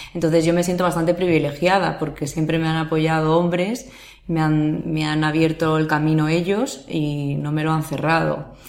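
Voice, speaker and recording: Audible room echo surrounds a woman with a very deep, low pitch. She speaks at a moderate pace with fairly even intonation. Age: 30s. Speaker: sports lawyer. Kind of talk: interview. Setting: office.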